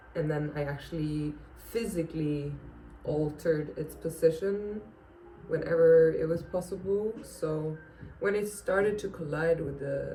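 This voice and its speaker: Speaking at a fairly slow pace with a non-native accent, a woman with a fairly low pitch and ordinary pitch variation is heard amid noticeable background noise and audible room echo. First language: not English. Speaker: plant youtuber. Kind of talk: casual tutorial. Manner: halting, many fillers.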